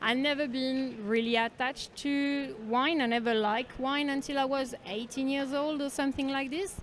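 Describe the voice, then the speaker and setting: A woman speaks with a French accent in a high voice, at a moderate pace. Her intonation stays fairly even, with hardly any pauses. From France, Bordeaux countryside. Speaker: wine professional. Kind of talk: casual street interview. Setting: underground train station.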